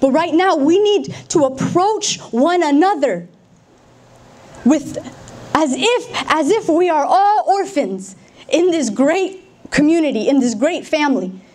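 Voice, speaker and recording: A woman with a General American accent, extremely high in pitch with very wide pitch swings, very even loudness and a fairly slow pace, over noticeable background noise. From Denver, Colorado, USA. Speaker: spoken word poet. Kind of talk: public speech.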